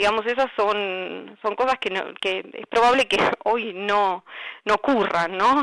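A woman speaks at medium pitch with ordinary pitch variation. The sound is dry and close, without echo. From Argentina, Zárate (Buenos Aires province). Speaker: journalist. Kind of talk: interview about her article. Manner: halting, many fillers.

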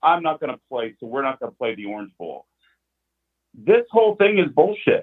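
Pitched fairly high, a man speaks at a moderate pace with very wide pitch swings. His loudness also swings a lot. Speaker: caller. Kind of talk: angry rant. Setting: phone call. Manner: irate, blunt, venting.

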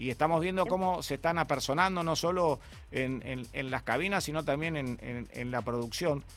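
A man is speaking. Music plays in the background. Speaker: radio DJ host. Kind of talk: radio show. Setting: radio studio.

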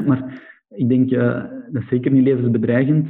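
A man talks at a moderate pace with a Flemish accent. His pitch is medium. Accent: Flemish Belgian Dutch. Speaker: entrepreneur, business founder. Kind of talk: casual interview.

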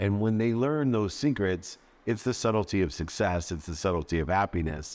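A man's fairly low-pitched, unremarkable speaking voice at a moderate pace, with lively intonation. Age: 50s. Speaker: entrepreneur and motivational speaker. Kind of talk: casual interview.

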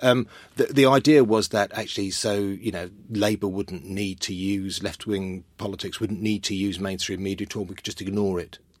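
At a moderate pace, a man with a London accent talks in a fairly low pitch with fairly even intonation on a very clean recording with a silent background. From North London, Welsh family. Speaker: author and consultant. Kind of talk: interview chat.

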